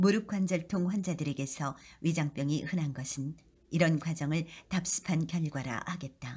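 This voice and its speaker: Somewhat breathy and very deep in pitch, a woman speaks at a fairly slow pace with ordinary pitch variation. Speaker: KBS voice actor. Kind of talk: audiobook-style reading of an essay.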